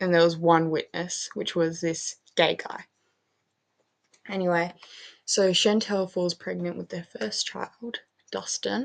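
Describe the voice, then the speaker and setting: A woman speaks quietly in a fairly low voice. She goes at a very slow pace with long, frequent pauses. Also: ordinary pitch variation. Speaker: gaming youtuber. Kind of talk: casual gameplay commentary. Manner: quiet, hushed; casual with many fillers.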